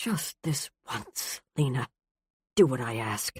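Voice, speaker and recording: A put-on character voice growls at a low-to-middle pitch and a fairly slow pace. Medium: read story. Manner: clipped, stern.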